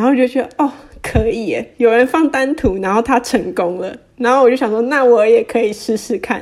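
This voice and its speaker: A woman talks at a high pitch and a fairly quick pace. Her pitch variation is ordinary, with noticeable background noise. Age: 20s. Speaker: personal finance Instagram creator. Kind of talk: casual interview.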